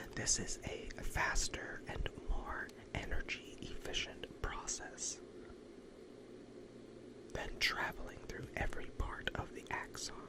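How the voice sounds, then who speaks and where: Someone whispers in a calm tone at a very slow pace, with long, frequent pauses and noticeable background noise. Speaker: ASMR educator, physician-style host. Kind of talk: educational ASMR lecture on nervous system physiology, sleep-aid. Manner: whispered, soft, calm.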